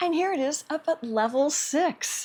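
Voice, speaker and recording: The recording is very clean, with a silent background. A woman speaks in an animated tone. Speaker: product reviewer. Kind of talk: product review demonstration.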